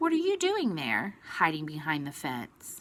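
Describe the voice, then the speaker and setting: A woman's put-on character voice, fairly low in pitch, at a moderate pace. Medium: read story. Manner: curious, light.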